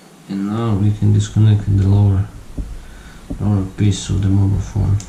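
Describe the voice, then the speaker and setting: Over noticeable background noise and audible room echo, a man speaks with a non-native accent. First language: not English. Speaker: tech YouTuber. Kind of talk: tutorial. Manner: halting. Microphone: voice too quiet under music.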